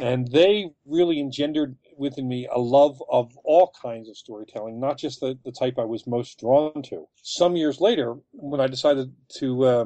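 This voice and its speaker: A man's unremarkable speaking voice, medium in pitch, with ordinary pitch variation. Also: moderate pace. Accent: American. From Philadelphia, Kensington. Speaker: author. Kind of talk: interview.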